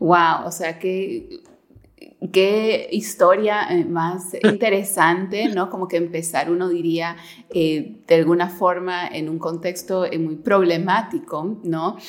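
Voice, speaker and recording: Fairly even intonation marks this very slow speech. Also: woman, medium pitch for a woman. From Peru. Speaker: podcast host. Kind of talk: interview.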